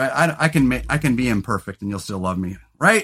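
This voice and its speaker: In a very clean recording with a silent background, a man's bright, sharp tone moves through very wide pitch swings. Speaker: podcast host and comedian. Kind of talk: casual chat. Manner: loud.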